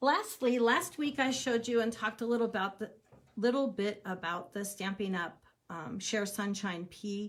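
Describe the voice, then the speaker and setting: Pitch variation here is ordinary. There is a somewhat breathy quality to the voice. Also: woman. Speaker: crafting demonstrator. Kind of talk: live video tutorial. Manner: animated.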